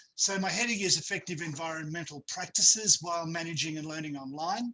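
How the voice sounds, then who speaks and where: Speaking at a fairly quick pace with an Australian accent, the man has a fairly high pitch and ordinary pitch variation. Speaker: university academic presenter. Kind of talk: webinar presentation. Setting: video call. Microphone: too quiet at first.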